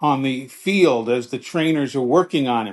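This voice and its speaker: At a moderate pace, an ordinary speaking voice comes through over a quiet background. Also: man. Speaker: veteran sportscaster and author. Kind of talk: casual interview answer, storytelling.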